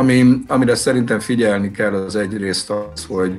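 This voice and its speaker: Faint music in the background behind a man at a moderate pace, with ordinary pitch variation. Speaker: school teacher. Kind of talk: interview answer. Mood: calm, thoughtful. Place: shop. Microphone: video call.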